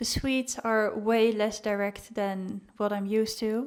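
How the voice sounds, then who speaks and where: A woman with a Dutch accent speaks fairly slowly at a fairly high pitch. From Netherlands. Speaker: vlogger. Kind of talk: casual vlog talk.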